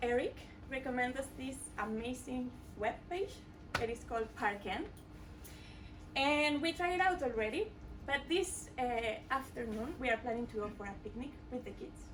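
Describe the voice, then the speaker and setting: With a strong Mexican accent, a woman speaks in a high, bright, sharp voice with lively intonation. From Mexico. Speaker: coding bootcamp student. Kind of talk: product demo presentation. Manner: hesitant, many filler sounds.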